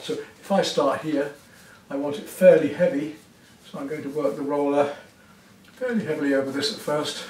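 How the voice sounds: A man speaks with a fairly high pitch and a slightly mellow tone. Room echo is audible.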